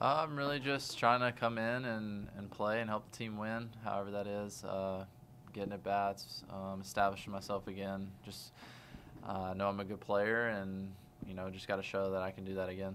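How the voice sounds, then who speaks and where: There is light background noise as a man speaks at a moderate pace. His pitch is fairly low and his intonation fairly even. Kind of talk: interview answer. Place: room. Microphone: studio mic.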